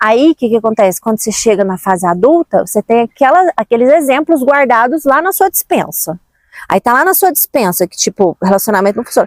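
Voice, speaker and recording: A woman speaks high in pitch with very wide pitch swings at a fairly quick pace. The sound is dry and close with no echo. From Brazil, Minas Gerais (Uberlândia). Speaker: self-help vlogger. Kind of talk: casual motivational talk.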